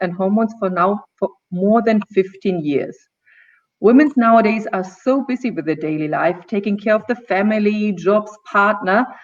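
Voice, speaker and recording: The pace is moderate. Intonation is lively throughout. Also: woman. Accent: non-native. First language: German. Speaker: gynecologist and naturopath. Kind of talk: talk show presentation. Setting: live video stream. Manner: occasional stumbling.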